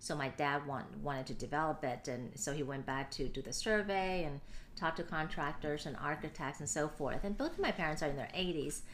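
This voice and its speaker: Audible room echo surrounds a woman who talks at a fairly quick pace with a very deep, low pitch and ordinary pitch variation. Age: 30s. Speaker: nonprofit president and CEO. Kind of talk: interview testimony.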